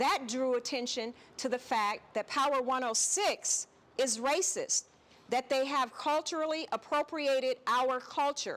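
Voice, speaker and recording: At a fairly slow pace, a woman with an American accent speaks in a high pitch, using ordinary pitch variation and very even loudness. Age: 60s. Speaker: activist, nonprofit executive director. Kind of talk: heated debate.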